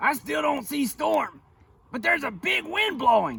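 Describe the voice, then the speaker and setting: A man's put-on character voice is extremely high in pitch and moves at a moderate pace. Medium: read story. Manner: flustered, repeats words.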